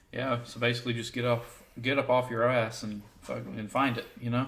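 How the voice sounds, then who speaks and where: Spoken with a strong Southern US accent, the voice moves at a moderate pace with monotone, flat intonation. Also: man. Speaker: podcast co-host. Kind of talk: casual chat.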